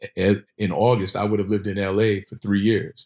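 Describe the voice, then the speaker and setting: A man with an American accent speaks at a moderate pace in a fairly low voice with fairly even intonation, an unremarkable speaking voice. The recording is very clean with a silent background. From Virginia Beach, Virginia. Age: 40s. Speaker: fashion business founder. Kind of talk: casual interview.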